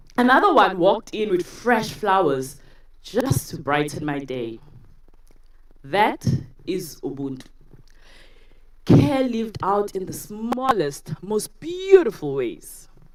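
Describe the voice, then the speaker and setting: A woman with a South African accent at a medium pitch, very slow and full of long, frequent pauses, with very wide pitch swings and big swings in loudness. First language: isiZulu. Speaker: university lecturer, TEDx speaker. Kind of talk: talk to a live audience.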